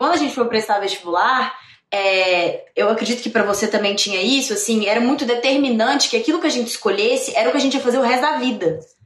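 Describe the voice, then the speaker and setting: Over noticeable background noise, a woman talks at a very fast pace in a fairly high voice with lively intonation. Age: 20s. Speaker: actress and podcast host. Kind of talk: casual interview chat. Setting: live stream. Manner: animated.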